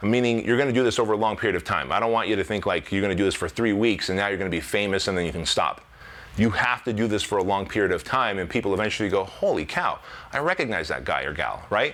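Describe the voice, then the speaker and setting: A man talking at a very fast pace, animated in tone, with ordinary pitch variation. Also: fairly low pitch for a man. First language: not English. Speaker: fitness business coach. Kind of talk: motivational business talk to camera.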